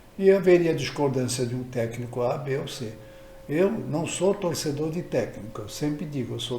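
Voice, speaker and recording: Against noticeable background noise and audible room echo, a man with a fairly high pitch speaks at a moderate pace. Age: 80s+. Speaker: football fan vlogger. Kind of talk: casual monologue. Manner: halting.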